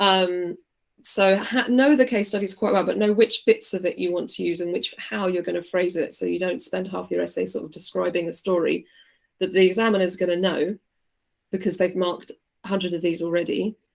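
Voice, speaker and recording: A woman talks at a fairly quick pace with a medium pitch. Her voice has vocal fry and ordinary pitch variation. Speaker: teacher. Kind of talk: online revision lesson. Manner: fast.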